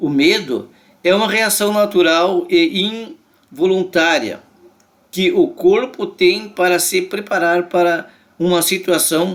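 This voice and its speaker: Here a man talks at a very slow pace. His voice is high in pitch, and his intonation is lively. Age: 60s. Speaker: lay preacher. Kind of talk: religious reflection monologue. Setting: at home. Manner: conversational.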